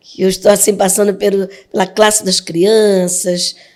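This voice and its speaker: The tone of this woman's voice is dark and mellow. She talks fairly slowly. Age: 60s. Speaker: pastor. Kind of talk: testimony.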